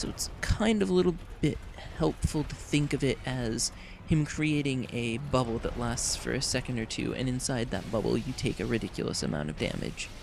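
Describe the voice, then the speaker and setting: Noticeable background noise sits behind a man who talks at a moderate pace and medium pitch with lively intonation. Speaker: gaming video creator. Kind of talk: game walkthrough commentary. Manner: casual, many fillers.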